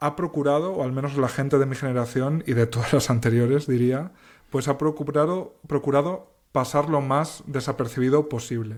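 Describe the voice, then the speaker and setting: A man at a fairly high pitch and moderate pace, fairly even in intonation, in a very clean recording with a silent background. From Castilla-La Mancha, Spain. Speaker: novelist and cultural journalist. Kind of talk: interview. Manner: thoughtful, articulate with some false starts.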